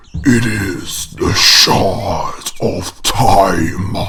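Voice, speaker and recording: Against clear background noise, a man growls in a cartoonish character voice at a fairly low pitch. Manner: slow, solemn, otherworldly.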